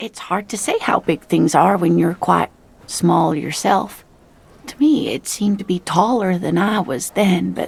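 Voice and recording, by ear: The passage is read aloud in a natural voice.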